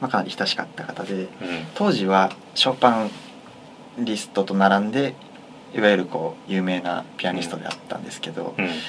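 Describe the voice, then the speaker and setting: A man talks at a fairly quick pace with a fairly low pitch and ordinary pitch variation, leaving long, frequent pauses. His loudness swings widely, and there is noticeable background noise. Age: 20s. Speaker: pianist and university student. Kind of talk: casual chat. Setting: recording studio.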